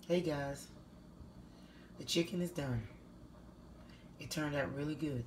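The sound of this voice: A woman's low-pitched voice at a slow pace, with ordinary pitch variation and audible room echo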